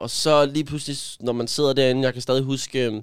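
At a moderate pace, the talking comes through in a very clean recording with a silent background. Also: man. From Denmark, Gentofte. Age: 20s. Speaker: influencer. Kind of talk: personal testimony. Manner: halting.

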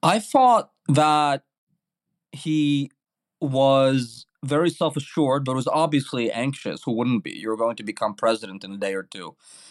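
A man with a New York accent at a fairly high pitch and fairly slow pace, lively intonation, big swings in loudness, dry, close sound with no echo, a very clean recording with a silent background. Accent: New York American English. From New York City, Brooklyn. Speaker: journalist. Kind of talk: interview.

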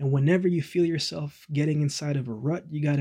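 At a fairly quick pace, a man speaks in a fairly high pitch with a warm tone, somewhat breathy and with fairly even intonation. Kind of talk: pep talk. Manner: earnest, encouraging, warm and reassuring; direct, rhythmic, repeating phrases for emphasis.

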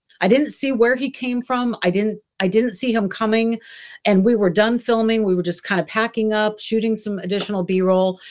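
With a normal speaking voice, a woman speaks at a moderate pace in a fairly high pitch and fairly even intonation. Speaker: TV journalist. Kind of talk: panel discussion.

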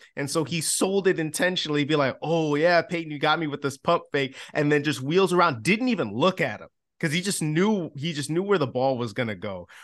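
An ordinary speaking voice: a man with an American accent talks at a fairly high pitch with lively intonation and hardly any pauses. The background is quiet. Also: fairly quick pace. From Chicago. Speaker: sports podcast host, former team reporter. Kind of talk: casual sports chat.

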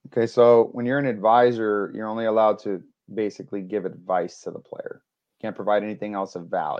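A man speaks fairly quickly in an ordinary speaking voice, fairly low in pitch with fairly even intonation and an American accent. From New York. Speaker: baseball player agent and draft advisor. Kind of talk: interview.

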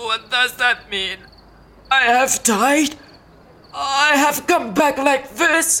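A woman puts on a character voice with a high pitch. She goes at a very slow pace, with long, frequent pauses. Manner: disoriented, frightened, anguished.

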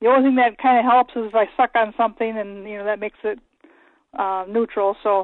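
A woman speaks in an unremarkable speaking voice, pitched fairly high. Her intonation stays fairly even. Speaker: caller. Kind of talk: phone-in question. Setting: phone call.

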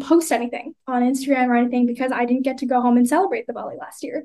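Speaking in an American accent, a woman keeps a high pitch and fairly even intonation. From US, Indian immigrant family. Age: 20s. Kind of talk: casual chat. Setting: video call.

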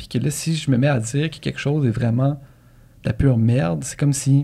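Speaking in a Quebec accent, a man with a medium pitch sounds somewhat breathy and keeps a fairly quick pace. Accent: Québécois French. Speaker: podcast co-host. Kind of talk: casual chat.

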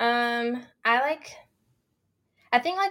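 A woman with a North Carolina accent is heard on a very clean recording with a silent background. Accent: Southern US, North Carolina. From North Carolina, small farm town. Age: 20s. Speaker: grad student. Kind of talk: casual interview chat.

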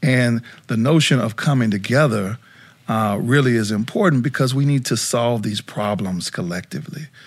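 An unremarkable speaking voice from a man with an American accent at a moderate pace, in a very clean recording with a silent background. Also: medium pitch for a man, ordinary pitch variation. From South Dakota, US. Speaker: nonprofit CEO and former college football player. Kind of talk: casual interview chat.

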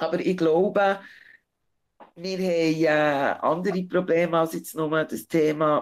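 A woman with a fairly low pitch speaks very slowly and with fairly even intonation over a very clean recording with a silent background. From Switzerland, Bern region. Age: 40s. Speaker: interview guest. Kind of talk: interview.

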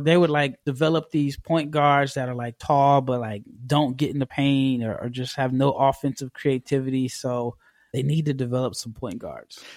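On a very clean recording with a silent background, a man with an unremarkable speaking voice talks at a fairly slow pace and fairly high pitch with fairly even intonation. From United States. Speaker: basketball draft scout. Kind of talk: interview.

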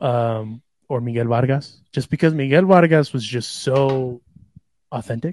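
Dry and close with no echo, the clip has a man speaking fairly slowly in a plain, everyday voice at medium pitch, with ordinary pitch variation. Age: 30s. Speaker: podcast co-host. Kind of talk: casual chat. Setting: studio.

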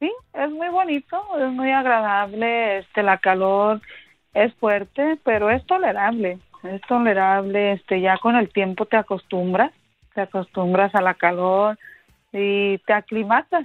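A woman with an unremarkable speaking voice, medium pitch, ordinary pitch variation and a fairly slow pace. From Mexico, Aguascalientes. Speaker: caller. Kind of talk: casual chat.

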